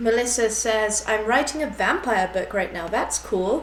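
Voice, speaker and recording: With an American accent, this speaker talks at a moderate pace in fairly even intonation over noticeable background noise. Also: woman. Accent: southern British with some American words. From southern England (Surrey). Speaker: live streamer. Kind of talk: casual chat. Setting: live stream.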